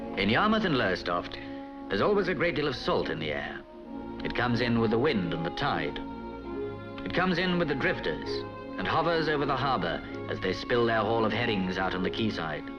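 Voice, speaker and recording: With music in the background, a man at medium pitch speaks at a fairly quick pace, making very wide pitch swings and long, frequent pauses. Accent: British. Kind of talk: documentary narration.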